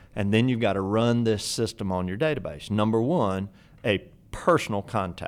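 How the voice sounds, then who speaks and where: A man with a normal speaking voice and a medium pitch talks at a moderate pace in a very clean recording with a silent background. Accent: American. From US South. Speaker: real estate instructor. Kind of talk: podcast interview.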